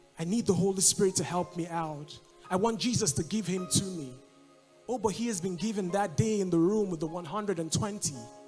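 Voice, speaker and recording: A man talks at a fairly quick pace in a high voice. Music plays in the background. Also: ordinary pitch variation. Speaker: spoken word poet performing at a church service. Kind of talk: spoken word poetry with background music, church setting.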